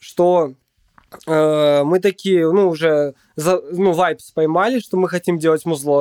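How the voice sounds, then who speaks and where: A man speaks at a very slow pace with ordinary pitch variation. The sound is dry and close, with no echo. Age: 20s. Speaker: beatmaker and sound producer. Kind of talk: casual interview chat. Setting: home studio.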